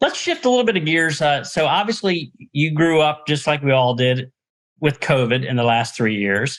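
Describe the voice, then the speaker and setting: A man's normal speaking voice at a fairly high pitch, with lively intonation, very even loudness and a moderate pace. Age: 60s. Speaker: podcast host, nonprofit executive. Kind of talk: interview.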